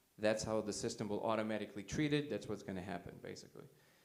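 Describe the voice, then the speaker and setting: Speaking at a very fast pace, the man uses lively intonation. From Soviet Union (Russia). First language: Russian. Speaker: conference speaker. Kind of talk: talk with audience questions. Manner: casual, filler-heavy.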